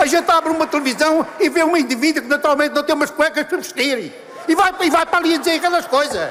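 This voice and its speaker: An animated tone at a very fast pace, with very even loudness and noticeable background noise. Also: man, extremely high pitch for a man. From Portugal, Lisbon. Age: 80s+. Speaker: party member giving a congress speech. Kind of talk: public speech.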